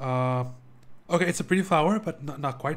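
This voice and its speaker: A man with a non-native accent, fairly high-pitched and somewhat breathy, at a fairly quick pace with lively intonation. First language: not English. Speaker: video game streamer. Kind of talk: live game playthrough commentary with reading aloud.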